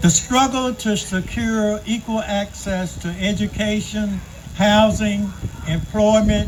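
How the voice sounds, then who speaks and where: Noticeable background noise sits behind a man with an American accent, who speaks at a fairly slow pace in a high pitch. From US South. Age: 70s. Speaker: community speaker, Air Force veteran. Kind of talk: public speech. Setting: outdoors event with audience. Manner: formal.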